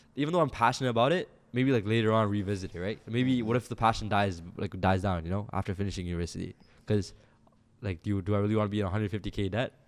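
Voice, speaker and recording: A man rattles off his words very fast in a fairly low voice. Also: ordinary pitch variation. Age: young. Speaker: videographer and entrepreneur. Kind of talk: casual chat. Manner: hesitant, many fillers.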